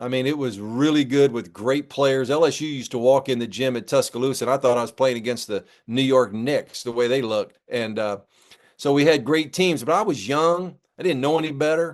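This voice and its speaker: With a normal speaking voice, a man talks at a fairly quick pace, medium pitch and ordinary pitch variation over a quiet background. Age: 60s. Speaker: former basketball coach. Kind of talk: interview. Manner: casual, conversational.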